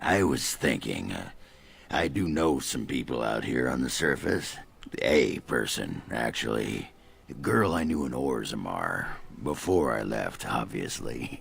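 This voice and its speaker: A man puts on a raspy character voice with a very deep, low pitch. He speaks at a fairly slow pace over light background noise. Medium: video game. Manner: gruff, blustering.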